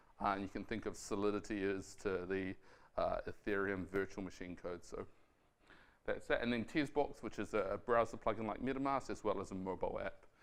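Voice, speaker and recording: Speaking with a New Zealand accent, a man uses a fairly low pitch, ordinary pitch variation and a fairly quick pace. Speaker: software developer. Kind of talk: tech talk. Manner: fast; hesitant with fillers and repetitions.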